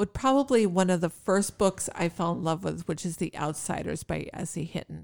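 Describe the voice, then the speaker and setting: With hardly any pauses, a woman speaks at a moderate pace in a fairly low pitch with vocal fry and ordinary pitch variation, the sound dry and close with no echo. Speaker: podcast co-host. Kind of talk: casual chat.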